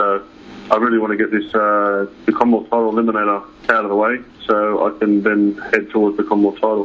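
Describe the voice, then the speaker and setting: With an Australian accent, a man talks at a very fast pace in a medium pitch. Noticeable background noise runs underneath. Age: 30s. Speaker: professional boxer. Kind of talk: interview. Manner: halting.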